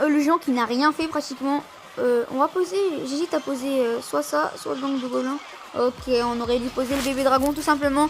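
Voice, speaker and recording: Against noticeable background noise, a woman talks at a high pitch with ordinary pitch variation. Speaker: gaming youtuber. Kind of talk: live gameplay commentary. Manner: fast; animated.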